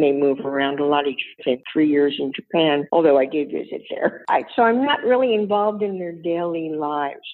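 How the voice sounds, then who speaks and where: This woman has a very deep, low pitch and an American accent. She talks at a moderate pace with lively intonation and hardly any pauses. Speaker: blogger and senior style advocate. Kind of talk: interview.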